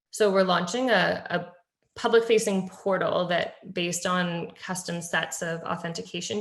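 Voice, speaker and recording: Amid audible room echo, a woman with a fairly low pitch speaks with ordinary pitch variation. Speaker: public health technology presenter. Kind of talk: webinar presentation. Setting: virtual meeting. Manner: fast.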